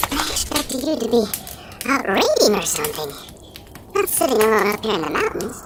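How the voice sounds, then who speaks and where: A fairly high-pitched, put-on character voice at a fairly quick pace over loud background noise. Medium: audio drama. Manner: skeptical, wry.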